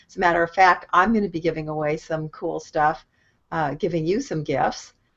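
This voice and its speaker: A woman with a Californian accent talks at a fairly low pitch, with ordinary pitch variation. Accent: Californian American. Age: 60s. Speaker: online marketing coach. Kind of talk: casual live stream talk. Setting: video call live stream.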